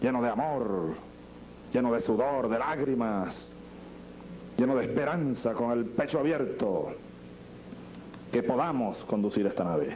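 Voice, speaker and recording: Over light background noise, a man speaks fairly slowly with very even loudness, ordinary pitch variation, and long, frequent pauses. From Venezuela. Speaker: president of Venezuela. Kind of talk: improvised political speech. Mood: solemn, emotional, rhetorical. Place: hall. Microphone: podium.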